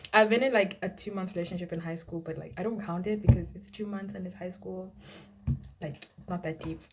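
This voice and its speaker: Soft-spoken and fairly quick, a woman talks with big swings in loudness over noticeable background noise. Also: medium pitch for a woman, fairly even intonation. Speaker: vlogger. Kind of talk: casual storytime vlog.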